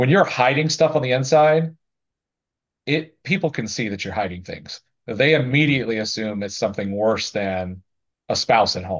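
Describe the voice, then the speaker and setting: With a normal speaking voice, a man talks at a moderate pace and medium pitch, his intonation lively. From US South, small-town Florida. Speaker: building contractor and business owner. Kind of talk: interview.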